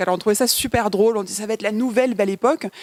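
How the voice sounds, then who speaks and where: A woman speaks at a fairly high pitch with ordinary pitch variation. The sound is dry and close, with no echo. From Paris suburbs, France. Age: 20s. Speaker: film director and producer. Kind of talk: interview.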